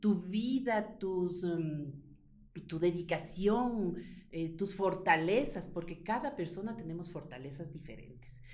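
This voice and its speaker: A woman at a very slow pace, medium in pitch with lively intonation, amid audible room echo and noticeable background noise. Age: 50s. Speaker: insurance broker and business owner. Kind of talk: interview.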